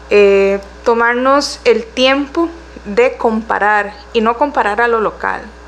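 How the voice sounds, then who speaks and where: Pitch moves with ordinary variation. The speech goes along at a very slow pace. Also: woman. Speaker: council candidate, economist. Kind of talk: political interview.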